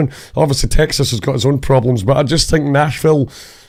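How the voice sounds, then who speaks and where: In a Scottish accent, a man talks at a fairly quick pace with an animated tone. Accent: Scottish, often mistaken for Irish. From Scotland. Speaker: musician and podcast host. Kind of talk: casual chat.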